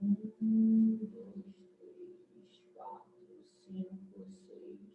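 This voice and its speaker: Her delivery is a flat monotone, and this woman's pitch sits fairly high for a woman. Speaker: psychology student. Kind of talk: casual chat. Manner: expressive, presenter-like.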